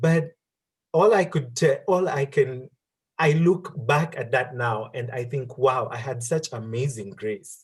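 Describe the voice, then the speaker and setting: Somewhat breathy, a man speaks at medium pitch. His intonation is lively. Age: 30s. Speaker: career speaker. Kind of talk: interview.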